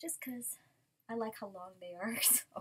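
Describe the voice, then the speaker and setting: Light background noise sits behind a woman whose voice is somewhat breathy. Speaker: unboxing vlogger. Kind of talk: casual vlog chat. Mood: cheerful, chatty. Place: home room. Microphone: webcam.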